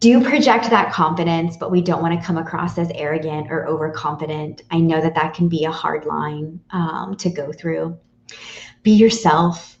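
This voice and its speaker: A woman with an American accent speaks at a moderate pace with ordinary pitch variation. She has an unremarkable speaking voice and a fairly low pitch. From northern US. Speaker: college career advisor. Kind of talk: online workshop presentation.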